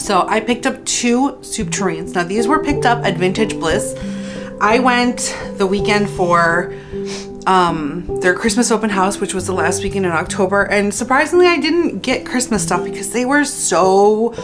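Clear music plays in the background while a woman talks at a moderate pace. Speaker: home decor vlogger. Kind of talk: casual haul vlog chat. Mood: cheerful, enthusiastic. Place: home room.

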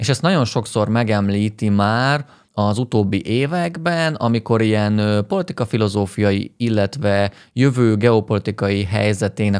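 A man with a fairly low voice and ordinary pitch variation speaks at a moderate pace over a quiet background. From Hungary. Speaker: video essayist and political commentator; political commentator. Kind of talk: satirical commentary on a political interview. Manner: sarcastic, ironic. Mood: critical, wry. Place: studio. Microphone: studio mic.

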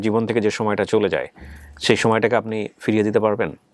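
A man's fairly low-pitched voice. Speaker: radio-style host of a family reunion show. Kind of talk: interview and moral commentary.

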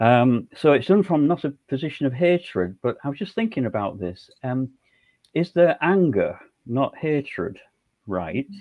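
Against a quiet background, a man's voice swings widely in pitch and heavily in loudness. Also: fairly high pitch for a man, moderate pace. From northern England, Hull. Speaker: former Jehovah's Witness elder. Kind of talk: interview. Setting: video call. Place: home room. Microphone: video call.

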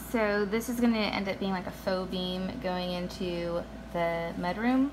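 Amid noticeable background noise, the woman keeps her intonation fairly even. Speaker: home renovator vlogger. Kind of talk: casual vlog chat. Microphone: phone near.

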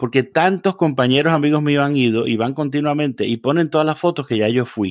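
A man with an ordinary speaking voice, fairly high pitch and ordinary pitch variation, talking at a fairly quick pace with hardly any pauses and very even loudness, on a very clean recording with a silent background. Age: 40s. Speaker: reverend. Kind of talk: casual interview conversation.

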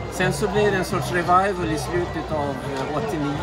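A man's voice at a very slow pace over loud music in the background. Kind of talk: interview answer. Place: street. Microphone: phone near.

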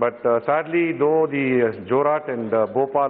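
A man's fairly even intonation comes through light background noise. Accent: Tamil. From Tamil Nadu. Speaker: member of parliament. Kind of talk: parliamentary speech. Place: hall. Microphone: podium.

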